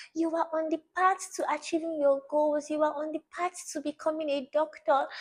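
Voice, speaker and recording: A woman's high-pitched voice with a Nigerian accent, at a moderate pace. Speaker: study tips vlogger. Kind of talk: motivational talk to camera. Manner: repetitive, earnest.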